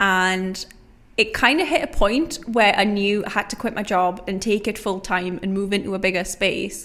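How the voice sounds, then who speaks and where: Recorded very cleanly against a silent background, a woman with a Geordie accent speaks at a moderate pace and medium pitch with ordinary pitch variation. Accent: Geordie (Newcastle). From northern England, Newcastle. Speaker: small business founder. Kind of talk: podcast interview.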